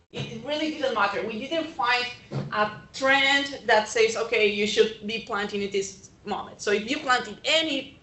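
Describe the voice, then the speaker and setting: Amid audible room echo, a woman with a fairly high pitch speaks at a moderate pace, her pitch varying in an ordinary way. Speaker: extension agronomist. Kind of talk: presentation talk. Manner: hesitant, with fillers.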